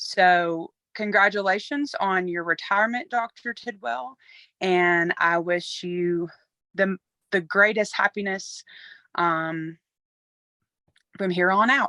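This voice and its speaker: A woman with an Alabama accent, medium pitch and a bright, sharp tone, very slow with long, frequent pauses, on a very clean recording with a silent background and a dry, close sound with no echo. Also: ordinary pitch variation. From US South, Alabama. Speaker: university nutrition staff member. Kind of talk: recorded tribute testimony.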